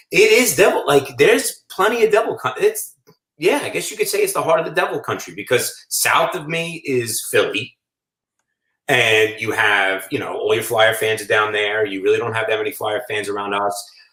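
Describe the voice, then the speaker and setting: Speaking with a New York accent, a man keeps a moderate pace. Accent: New York (Staten Island). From Staten Island, New York. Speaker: food shop owner. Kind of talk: casual chat.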